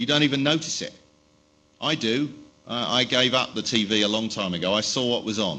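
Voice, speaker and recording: The man's lively intonation is heard through audible room echo. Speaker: tech company spokesperson. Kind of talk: conference presentation. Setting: stage with audience. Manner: fast.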